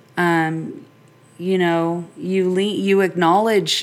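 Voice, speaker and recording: Noticeable background noise sits behind a woman whose voice is fairly low. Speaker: podcast host. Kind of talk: casual solo monologue. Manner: rambling, lighthearted.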